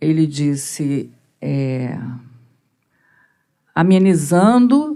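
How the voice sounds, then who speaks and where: This woman's voice has a dark, mellow tone and very wide swings in pitch. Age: 60s. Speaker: audience member, mental health professional. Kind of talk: audience question.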